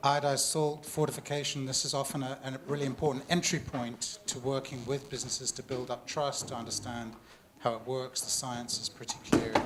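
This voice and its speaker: A man's medium-pitched, monotone voice with flat intonation at a fairly slow pace, amid noticeable background noise. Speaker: panel moderator. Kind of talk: panel moderation.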